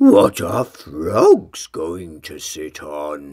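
A man performs a put-on character voice at an extremely low pitch, with vocal fry and a slightly mellow tone. He goes at a very slow pace with very wide pitch swings, on a very clean recording with a silent background.

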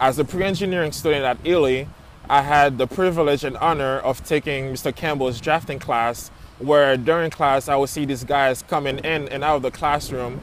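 Against light background noise, a man talks at a moderate pace and fairly high pitch with fairly even intonation, the sound dry with no echo. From Florida, Haitian family. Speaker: architect. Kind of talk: personal testimony. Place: open country. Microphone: earbuds.

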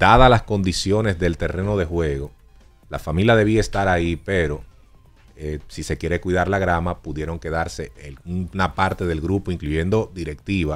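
With faint music in the background, a man talks at a moderate pace in a very deep, low pitch with ordinary pitch variation. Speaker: sports radio co-host. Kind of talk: sports talk commentary. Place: studio. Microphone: studio mic.

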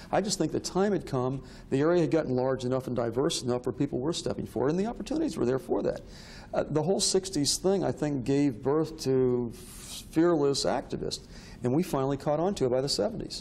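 A man with an American accent and a fairly high pitch talks at a fairly quick pace, his loudness very even and pitch variation ordinary, against noticeable background noise. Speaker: historian. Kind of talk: interview.

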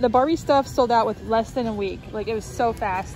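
With clear music in the background, a woman talks at a fairly quick pace with ordinary pitch variation, in a dry sound with no echo. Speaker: shopping vlogger. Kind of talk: casual vlog chat. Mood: excited, chatty. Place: shop. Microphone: phone near.

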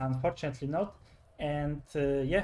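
A man with a fairly high pitch uses an ordinary speaking voice. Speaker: esports commentator. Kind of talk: live sports commentary on a game match.

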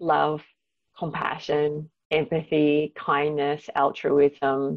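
A woman with an Australian accent speaks with a very deep, low pitch. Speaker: psychology professor. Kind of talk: interview.

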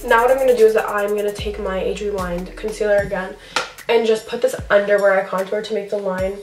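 A woman talking at a very fast pace in a flat monotone, with faint music in the background. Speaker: beauty vlogger. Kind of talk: tutorial. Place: home room.

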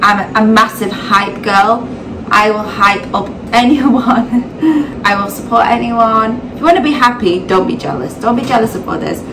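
A woman talks at a fairly slow pace with ordinary pitch variation. Noticeable background noise runs underneath. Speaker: vlogger, mother. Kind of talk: casual talk to camera. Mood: earnest, reflective. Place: kitchen. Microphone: phone near.

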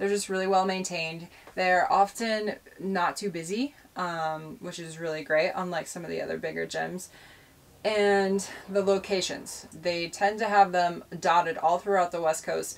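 A woman is speaking with fairly even intonation. Her pace is moderate. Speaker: van life vlogger. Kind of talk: casual vlog chat.

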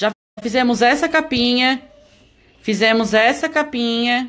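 A woman's high-pitched voice at a very slow pace. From Santa Catarina, Brazil (Palhoça, Greater Florianópolis); Santa Catarina, Brazil. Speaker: EVA craft teacher. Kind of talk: live-stream craft tutorial. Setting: live stream from home. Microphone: phone near.

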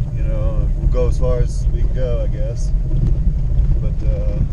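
The speech moves at a fairly slow pace. Loud background noise sits behind it. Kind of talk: casual vlog chat. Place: car. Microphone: camera far.

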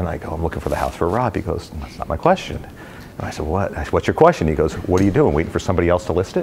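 A man with an American accent and a very deep, low pitch, at a very fast pace with hardly any pauses, ordinary pitch variation and light background noise. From New Jersey, US. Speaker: real estate company president. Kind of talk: talk with audience Q&A. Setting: stage with audience. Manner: joking, casual. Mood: relaxed, anecdotal. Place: meeting room.

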